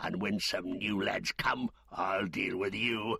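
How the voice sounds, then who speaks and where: A man speaks in a put-on character voice. His delivery is raspy and fairly slow. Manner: angry, brutal.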